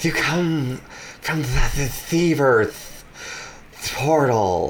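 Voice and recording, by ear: A man does a hissing character voice at a fairly high pitch, going very slowly. Background noise is clearly audible.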